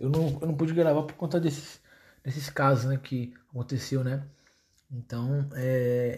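This man speaks at a fairly slow pace, somewhat breathy. His pitch is fairly high and his intonation fairly even. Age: 20s. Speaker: history teacher, podcaster. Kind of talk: solo casual podcast monologue. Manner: hesitant, many fillers.

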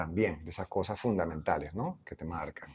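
A man talking at a fairly quick pace. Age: 60s. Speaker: visual artist and anthropologist. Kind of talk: interview. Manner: halting.

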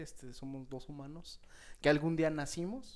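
A man with a Mexican accent speaks at a fairly slow pace. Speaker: podcast co-host. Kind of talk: casual chat.

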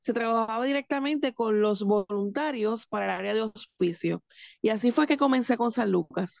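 A woman with a Puerto Rican accent speaks at a fairly high pitch and a moderate pace, with ordinary pitch variation. The sound is dry and close, with no echo. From Puerto Rico, Manatí. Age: 40s. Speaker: home care and hospice representative. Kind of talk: radio interview.

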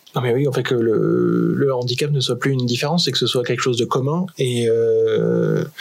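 A man speaks at a moderate pace with very even loudness and hardly any pauses, over noticeable background noise. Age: 30s. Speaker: adventurer and association co-founder. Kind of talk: casual interview. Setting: radio studio.

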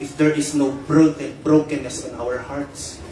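Against noticeable background noise, a man with a fairly high pitch speaks in an intense tone. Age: 20s. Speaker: preacher. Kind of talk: sermon, fervent preaching with prayer and declarations of spiritual warfare. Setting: church.

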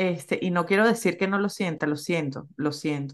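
An unremarkable speaking voice talks at a moderate pace with fairly even intonation against a quiet background. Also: woman. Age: 40s. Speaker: podcaster and social communicator. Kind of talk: interview conversation.

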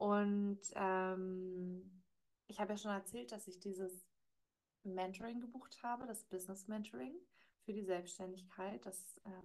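The speaker is a woman with a medium pitch. She talks at a fairly slow pace. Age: 30s. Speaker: podcast host and life coach. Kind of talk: solo monologue, casual recap. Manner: hesitant, frequent filler words.

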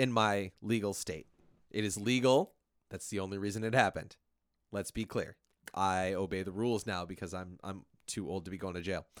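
Speaking at a fairly quick pace with fairly even intonation, a man has a normal speaking voice and fairly low pitch, recorded very cleanly against a silent background. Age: 30s. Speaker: podcast host. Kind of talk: casual chat.

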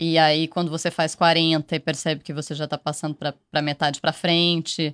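A woman speaks at a moderate pace with a very deep, low pitch. The sound is dry and close with no echo, over a quiet background. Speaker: podcast producer. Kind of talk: casual chat.

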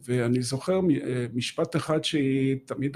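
The man's dark, mellow tone comes with ordinary pitch variation as he speaks very slowly. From Israel, Haifa area. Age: 70s. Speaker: author. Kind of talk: interview. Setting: studio.

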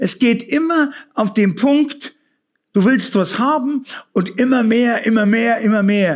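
The speech comes at a very slow pace, its loudness very even. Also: man, extremely high pitch for a man, ordinary pitch variation. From Bavaria, Fürstenfeldbruck near Munich. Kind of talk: testimony.

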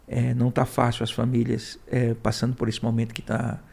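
At a moderate pace, a man with a medium pitch speaks in a monotone, flat way, his somewhat breathy voice dark and mellow. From Ceará, Brazil (raised in Fortaleza). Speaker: small business agency director. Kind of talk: interview.

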